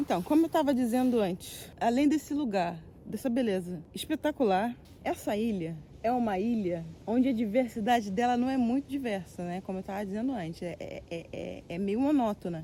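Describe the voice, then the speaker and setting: With music in the background, a woman talks in a Brazilian accent. Her pitch is fairly high and her intonation lively. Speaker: travel vlogger. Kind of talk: casual vlog talk to camera. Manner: fast; animated.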